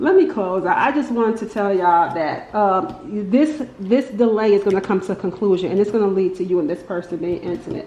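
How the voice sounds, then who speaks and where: A woman at medium pitch and a moderate pace, over noticeable background noise. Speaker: tarot reader. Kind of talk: tarot reading monologue. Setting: at home, window open. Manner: casual, filler-heavy; animated, got loud then quieter.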